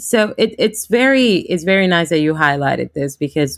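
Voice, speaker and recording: A woman with a Spanish accent, fairly low-pitched, at a moderate pace, in a dry, close sound with no echo. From Honduras. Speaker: law school program director and lawyer. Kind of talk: interview.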